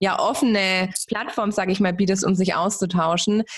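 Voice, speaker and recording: A woman's voice with ordinary pitch variation carries audible room echo. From Germany. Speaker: podcast host. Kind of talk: interview.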